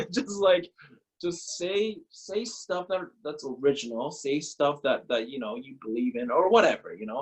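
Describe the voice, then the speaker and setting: Speaking at a moderate pace with a Korean accent, the man's voice shows very wide pitch swings. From Korea, moved to Canada at 13. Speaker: former pro baseball player. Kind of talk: casual interview. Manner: animated, profane; repetitive fillers.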